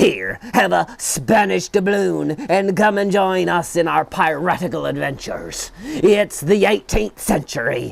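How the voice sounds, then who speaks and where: Putting on a character voice, a man speaks at a high pitch and a fairly slow pace with hardly any pauses. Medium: read story. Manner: bold, bossy.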